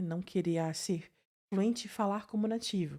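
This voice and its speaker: A dark, mellow tone with ordinary pitch variation, on a very clean recording with a silent background. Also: woman. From southern Brazil. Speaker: podcast host, psychologist. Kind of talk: podcast interview.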